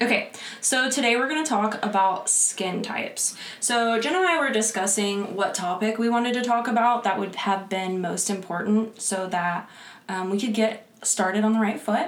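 A woman speaks with an American accent at a moderate pace, her fairly high pitch moving with ordinary variation. Noticeable background noise runs under her voice. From Pensacola, Florida. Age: 20s. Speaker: esthetician, podcast co-host, former military. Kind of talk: casual chat, podcast.

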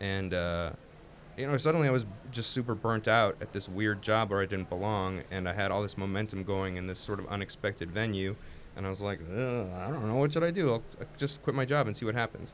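In a normal speaking voice, a man talks at a fairly quick pace with a fairly low pitch and ordinary pitch variation. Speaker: photographer. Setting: studio with headphones.

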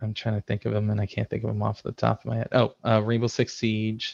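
In a dry, close recording with no echo, a man with a Midwestern American accent talks in a fairly low, monotone voice with flat intonation. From US Midwest, Chicago suburbs. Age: 30s. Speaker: IT system administrator and game streamer. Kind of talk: casual interview. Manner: hesitant, many fillers.

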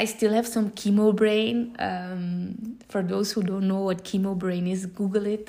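In a dark, mellow tone of medium pitch, a woman speaks fairly slowly with monotone, flat intonation. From Belgium. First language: Dutch. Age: 30s. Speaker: social entrepreneur and motivational coach. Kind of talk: podcast monologue. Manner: hesitant, many filler sounds.

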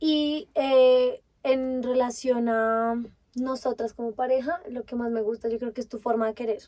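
A woman's high-pitched voice with a dark, mellow tone and fairly even intonation. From Colombia, Bogotá. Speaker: podcast co-host. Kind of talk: casual chat.

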